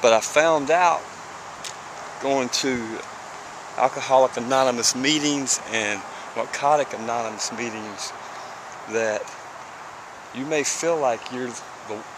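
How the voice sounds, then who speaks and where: A man with a Southern US accent at a fairly slow pace, with long, frequent pauses and noticeable background noise. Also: medium pitch for a man, ordinary pitch variation. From US South, small town. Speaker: person in addiction recovery. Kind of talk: personal testimony vlog. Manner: repetitive, halting at times.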